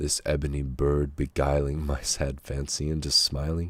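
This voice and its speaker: Somewhat breathy delivery at a fairly slow pace. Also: man. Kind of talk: poetry reading.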